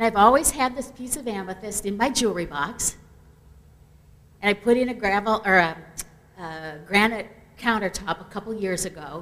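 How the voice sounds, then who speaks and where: A woman's medium-pitched voice, with ordinary pitch variation, big swings in loudness, a moderate pace and long, frequent pauses. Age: 60s. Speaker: memorial attendee sharing a story. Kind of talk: memorial tribute anecdote.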